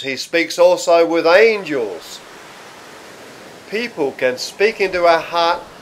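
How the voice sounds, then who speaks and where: Very slowly and with an Australian accent, a man speaks at a high pitch with ordinary pitch variation over noticeable background noise. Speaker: pastor. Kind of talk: sermon, religious teaching to camera. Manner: calm, conversational.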